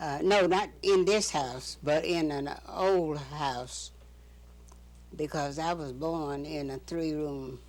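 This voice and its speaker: At a very slow pace, a woman with an American accent speaks in a very deep, low pitch with ordinary pitch variation. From North Carolina. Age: 80s+. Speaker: retired educator. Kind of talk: oral history interview answer. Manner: slow, reminiscent.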